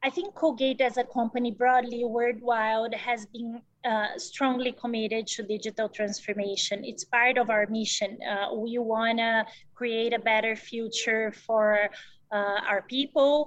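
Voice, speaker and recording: Here a woman speaks in a Portuguese accent at a fairly high pitch. Her pace is fairly slow and her intonation fairly even. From Brazil. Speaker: business executive. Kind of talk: interview.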